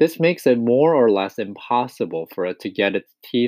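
Reading aloud in a natural voice, with lively intonation and a quiet background.

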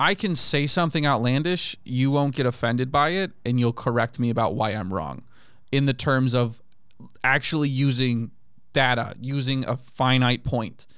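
An unremarkable speaking voice with an American accent, moderate pace and ordinary pitch variation on a very clean recording with a silent background. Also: man, medium pitch for a man. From grew up abroad as a US military child (Japan, Kenya, Germany, Turkey, US). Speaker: comedian. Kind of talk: casual chat. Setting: studio.

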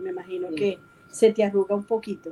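Noticeable background noise runs under a woman speaking at a medium pitch. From Venezuela, Maracaibo. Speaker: online show host. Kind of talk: casual interview.

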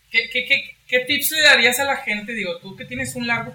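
Over noticeable background noise, a man uses a raised, projected voice with ordinary pitch variation. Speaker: podcast host. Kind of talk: interview.

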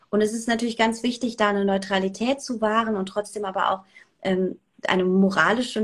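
A woman speaks at a moderate pace with a medium pitch. Her intonation is monotone and flat, and her voice is somewhat breathy. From Germany, Saarland. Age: 30s. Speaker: radio presenter and journalist. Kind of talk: casual interview. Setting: video call.

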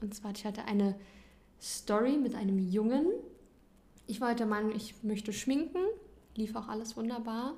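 A woman's fairly high, somewhat breathy voice at a moderate pace, with ordinary pitch variation, long, frequent pauses and audible room echo. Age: 20s. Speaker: nursery teacher. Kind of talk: casual chat.

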